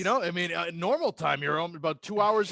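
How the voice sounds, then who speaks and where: A man with an American accent, high-pitched, bright and sharp in tone, at a fairly quick pace, in a dry, close recording with no echo. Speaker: sports radio and public address announcer. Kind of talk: casual podcast interview answer.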